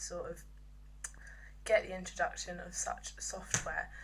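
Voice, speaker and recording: A woman with an English accent, audible room echo and noticeable background noise behind her. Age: 20s. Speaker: music business apprentice. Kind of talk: video monologue. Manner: halting; loud.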